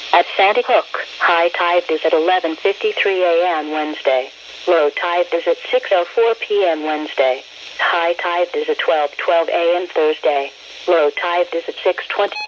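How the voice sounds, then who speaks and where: The speech is at a fairly slow pace. Noticeable background noise runs underneath. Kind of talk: weather radio broadcast reading tide forecasts. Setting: NOAA weather radio broadcast.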